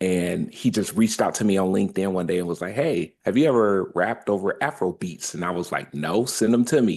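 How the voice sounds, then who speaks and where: A man with an American accent, an unremarkable speaking voice, fairly low pitch, ordinary pitch variation and a fairly quick pace. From Detroit, Michigan. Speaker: rapper. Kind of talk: interview. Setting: studio.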